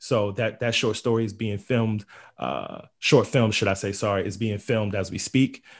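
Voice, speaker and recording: On a very clean recording with a silent background, a man with a plain, everyday voice and a fairly low pitch talks at a moderate pace with fairly even intonation. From Queens, New York. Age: 30s. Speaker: playwright. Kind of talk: interview.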